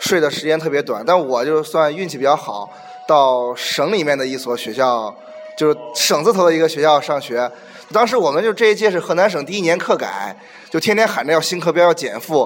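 A man with fairly high pitch talks at a fairly quick pace with lively intonation. Noticeable background noise runs underneath. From Henan. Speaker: podcast guest. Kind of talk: casual chat.

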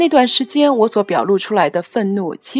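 Sounding dry and close with no echo, a woman speaks at a moderate pace in a fairly high pitch, her pitch swinging very widely. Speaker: podcast host. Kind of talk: personal commentary monologue.

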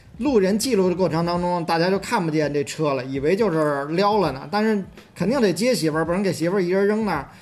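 The speech comes at a very fast pace with ordinary pitch variation. Room echo is audible. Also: man, high pitch for a man. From Beijing, southern city. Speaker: podcast co-host. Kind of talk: casual chat.

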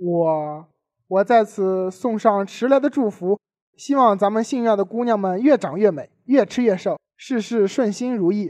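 The man speaks at a high pitch in a Tianjin accent. The sound is dry and close, with no echo. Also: ordinary pitch variation, fairly slow pace, quiet background. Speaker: student radio host. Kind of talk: scripted comedic banter. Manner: animated.

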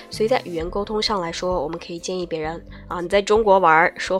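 Music plays in the background as a woman with a fairly low voice speaks at a fairly quick pace with fairly even intonation. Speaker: TOEFL speaking tutor. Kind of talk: lecture. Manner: casual, chatty.

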